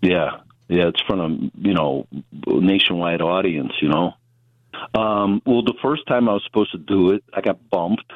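A man with a Chicago accent and very deep, low pitch speaks at a moderate pace, with ordinary pitch variation. He leaves long, frequent pauses and keeps his loudness very even. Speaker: comedian. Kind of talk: casual chat.

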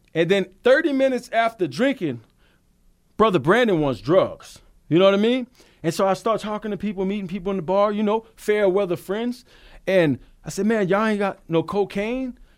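In a Louisiana accent, the speaker talks at a fairly quick pace with lively intonation on a very clean recording with a silent background. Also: man, high pitch for a man. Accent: Cajun Louisiana. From Louisiana, south of New Orleans. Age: 40s. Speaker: recovering alcoholic, sobriety talk host. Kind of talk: testimony. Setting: studio.

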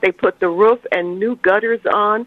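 A woman with a fairly high voice talks at a moderate pace. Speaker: caller. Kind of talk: radio call-in, enthusiastic praise and question. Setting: phone call. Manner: warm, chatty, enthusiastic.

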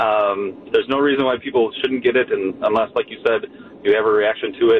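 Very fast speech over noticeable background noise. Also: man. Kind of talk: casual chat. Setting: studio.

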